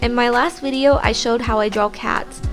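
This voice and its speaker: Music plays in the background as a woman speaks at a high pitch. Her pace is fairly quick, with lively intonation. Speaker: digital artist. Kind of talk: tutorial narration. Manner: polite customer-service tone.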